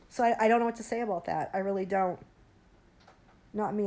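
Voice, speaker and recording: A woman speaks very fast in a monotone, flat intonation. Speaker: livestreamer. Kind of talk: casual chat.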